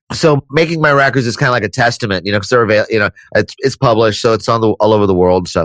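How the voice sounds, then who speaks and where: A man with an American accent talks at a very fast pace and a medium pitch, with an animated tone, ordinary pitch variation and very even loudness. The recording is very clean with a silent background and a dry, close sound with no echo. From Florida, US. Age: 50s. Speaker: musician and audio engineer. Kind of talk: podcast interview.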